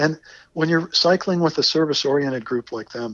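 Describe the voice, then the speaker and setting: At a fairly quick pace, a man with an unremarkable speaking voice talks with ordinary pitch variation. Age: 60s. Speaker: retired geologist, long-distance cyclist. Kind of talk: interview.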